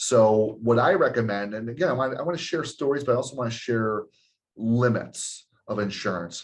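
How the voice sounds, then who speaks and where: Medium-pitched male speech, fairly quick, with ordinary pitch variation. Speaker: insurance agent. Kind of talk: webinar presentation. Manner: halting, with fillers.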